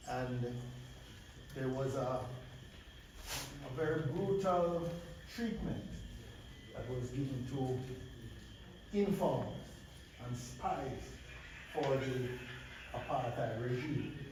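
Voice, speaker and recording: In a room with audible echo and noticeable background noise, a man speaks very slowly at a medium pitch, with ordinary pitch variation and long, frequent pauses. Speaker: speaker at a peace rally. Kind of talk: public speech on violence and trauma. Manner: hesitant, repeats words; raised projecting platform voice. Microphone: too quiet on the stream.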